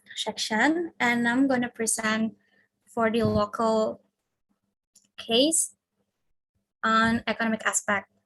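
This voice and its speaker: She speaks with an Indonesian accent at a very slow pace. The woman's pitch is fairly high, and her intonation is fairly even. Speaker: university student. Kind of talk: class presentation. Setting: video call.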